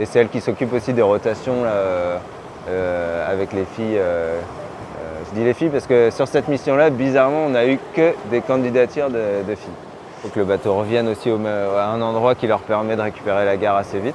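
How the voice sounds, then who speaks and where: A fairly low-pitched man at a fairly quick pace, ordinary pitch variation, noticeable background noise. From Brittany, France. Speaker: dentist and sailor. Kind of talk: casual interview. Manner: halting, many fillers.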